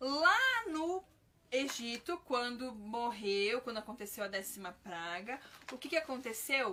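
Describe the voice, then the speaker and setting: Her bright, sharp voice is high for a woman, fairly slow, with very wide pitch swings and big swings in loudness. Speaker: children's ministry teacher. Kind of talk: live-stream Bible teaching. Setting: live stream.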